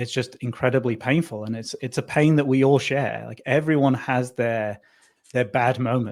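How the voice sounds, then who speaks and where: A man speaks with a medium pitch, keeping a moderate pace. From northern England. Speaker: tech company founder and CEO. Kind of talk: interview. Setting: radio studio.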